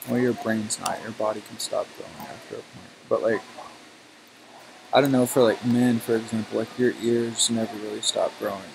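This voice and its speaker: A man's loudness swings widely as he talks at a moderate pace over noticeable background noise. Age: 20s. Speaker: gaming streamer. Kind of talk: casual chat. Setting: live stream, webcam off. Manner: chatty, filler-heavy.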